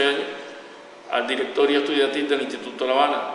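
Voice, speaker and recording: A man's fairly high-pitched voice with audible room echo and noticeable background noise. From Cuba, Havana. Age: 70s. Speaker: retired economist and former revolutionary activist. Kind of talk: interview testimony. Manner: hesitant, frequent filler sounds.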